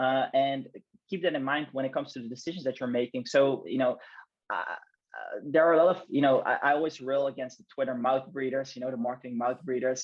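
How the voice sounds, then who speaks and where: Words come at a fairly quick pace, the pitch varying in an ordinary way. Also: man. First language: not English. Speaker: branding specialist and podcast host. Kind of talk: casual chat. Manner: halting, many fillers and repetitions.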